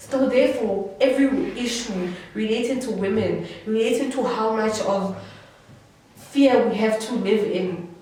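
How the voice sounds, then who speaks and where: Against noticeable background noise and audible room echo, a woman speaks in an animated tone with a fairly high pitch. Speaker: student activist. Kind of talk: panel discussion. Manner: loud.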